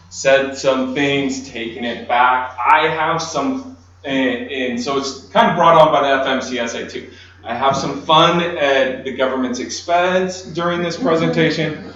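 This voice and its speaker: Over noticeable background noise and audible room echo, a man with a fairly high pitch speaks at a fairly slow pace with ordinary pitch variation. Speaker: lawyer. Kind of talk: conference presentation. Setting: conference room with audience, no microphone. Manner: loud. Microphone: speaking without a microphone.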